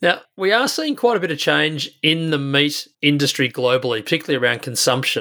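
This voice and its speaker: Speaking very fast, the man has a fairly high pitch and ordinary pitch variation. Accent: Australian. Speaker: podcast host, industry chair. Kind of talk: interview.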